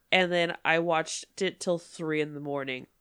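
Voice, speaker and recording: Speaking at a moderate pace, a woman with an unremarkable speaking voice and fairly low pitch is heard on a very clean recording with a silent background. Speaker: podcast co-host. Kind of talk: casual chat.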